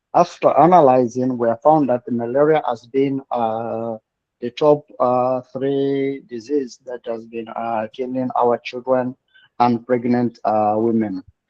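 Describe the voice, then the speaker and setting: The speaker has a Congolese accent. The delivery is fairly slow, with fairly even intonation. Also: man, medium pitch for a man. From DR Congo (Kinshasa). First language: French. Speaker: public health worker, student. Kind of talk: class discussion. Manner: halting.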